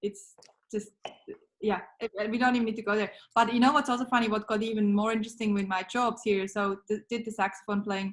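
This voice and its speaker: With a Swiss accent, a woman speaks fairly quickly at a fairly high pitch, somewhat breathy and with monotone, flat intonation. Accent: Swiss accent, noticeable. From Switzerland. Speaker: business founder, marketing mentor. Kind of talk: podcast interview.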